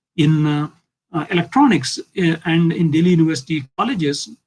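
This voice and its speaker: A man speaks at a fairly quick pace with an Indian accent. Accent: Indian English (Telugu). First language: Telugu. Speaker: physics professor. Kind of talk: lecture. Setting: video call.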